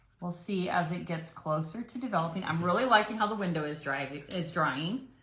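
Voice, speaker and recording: A woman with a fairly low pitch talks at a fairly quick pace, her intonation lively. Audible room echo and noticeable background noise fill the recording. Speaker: painting demonstrator, brand ambassador. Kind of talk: live painting tutorial. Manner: casual, chatty.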